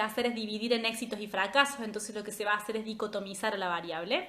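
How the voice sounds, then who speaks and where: A woman is speaking. Audible room echo fills the recording. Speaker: statistics tutor. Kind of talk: live review class. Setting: Instagram livestream. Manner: casual, chatty.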